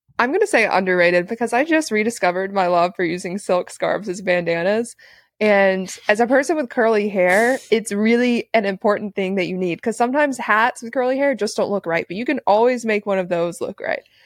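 This woman speaks at a fairly quick pace with hardly any pauses, in a normal speaking voice of fairly high pitch and ordinary pitch variation. The recording is very clean with a silent background and a dry, close sound with no echo. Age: 20s. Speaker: podcast co-host. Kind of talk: casual chat.

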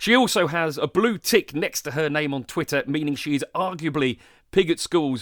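Recorded very cleanly against a silent background, dry and close with no echo, a man with a southern English accent speaks at a fairly high pitch with lively intonation. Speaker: podcast host. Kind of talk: interview; scripted narration.

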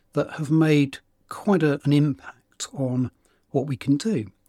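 A man with a British accent speaks fairly slowly and somewhat breathily, ordinary pitch variation in his voice, on a very clean recording with a silent background and a dry, close sound with no echo. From UK. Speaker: podcast host, organisational change consultant. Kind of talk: solo monologue.

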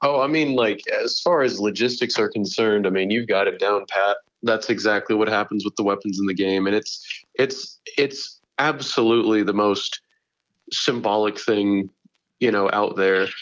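A plain, everyday voice at a moderate pace, with ordinary pitch variation and very even loudness. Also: man, fairly low pitch for a man. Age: 20s. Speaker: YouTube gaming creator. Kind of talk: casual interview.

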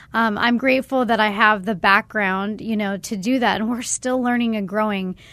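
In an unremarkable speaking voice with an American accent, a woman talks at a moderate pace, fairly high in pitch and fairly even in intonation. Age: 30s. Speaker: sober living executive director. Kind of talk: testimony. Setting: studio.

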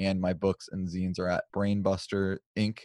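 The sound is dry and close, with no echo. A man with a fairly low pitch speaks at a moderate pace. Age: 30s. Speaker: podcast host and photographer. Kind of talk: casual chat.

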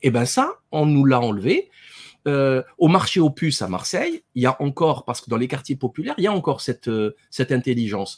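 Fairly high in pitch with ordinary pitch variation, a man talks at a fairly quick pace, recorded with a dry, close sound and no echo. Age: 40s. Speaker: dentist and author. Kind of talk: interview. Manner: hesitant, many fillers and repetitions.

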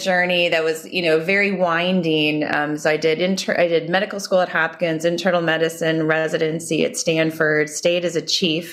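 The speaker has an American accent and a moderate pace, with hardly any pauses. Intonation is fairly even, loudness very even, and there is noticeable background noise. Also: woman. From Minnesota, US Midwest. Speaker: healthcare company CEO and physician. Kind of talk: interview.

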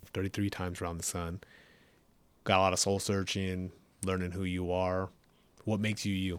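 A man with an American accent speaks at a moderate pace in a very deep, low voice, his intonation flat and monotone, with long, frequent pauses. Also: very clean recording, silent background. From California. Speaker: military podcast host, Air Force first sergeant. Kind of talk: casual interview.

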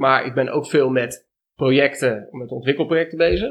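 This man has an ordinary speaking voice with a fairly high pitch. He talks at a moderate pace with ordinary pitch variation. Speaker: dairy and cheese farmer. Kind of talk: interview conversation. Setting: on location at the farm.

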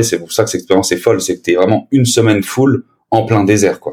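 At a fairly low pitch, a man with an ordinary speaking voice talks with fairly even intonation. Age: 20s. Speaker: podcaster and sales manager. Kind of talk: casual chat.

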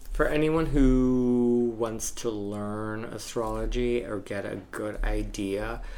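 A man speaks at a very slow pace in a medium pitch, with ordinary pitch variation and hardly any pauses. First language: not English. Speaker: astrologer and bartender. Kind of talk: casual chat.

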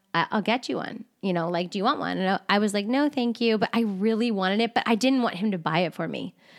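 A woman with a South Jersey accent, medium pitch, a very fast pace and hardly any pauses, on a very clean recording with a silent background. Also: ordinary pitch variation. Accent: Philadelphia-area South Jersey. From South Jersey, near Philadelphia. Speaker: podcast co-host. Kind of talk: casual chat.

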